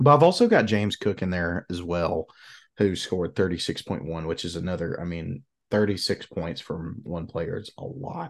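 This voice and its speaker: With very deep, low pitch and ordinary pitch variation, a man talks in big swings of loudness. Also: moderate pace. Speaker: fantasy football podcast co-host. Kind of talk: casual sports banter podcast. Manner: casual, conversational, filler-heavy.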